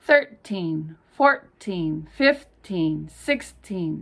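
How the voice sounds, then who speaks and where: Her intonation is lively. The woman speaks with an American accent. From California. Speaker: English pronunciation teacher. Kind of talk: pronunciation lesson. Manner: slow, clear.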